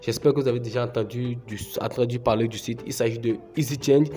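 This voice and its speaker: A man's medium-pitched voice at a moderate pace, fairly even in intonation, with noticeable background noise. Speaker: YouTuber, crypto tutorial creator. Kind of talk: tutorial. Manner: hesitant, many filler sounds.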